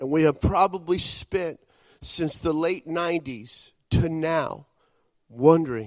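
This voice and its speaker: Speaking at a very slow pace, a man with an American accent uses a fairly high pitch and ordinary pitch variation. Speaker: visiting preacher. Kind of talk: sermon.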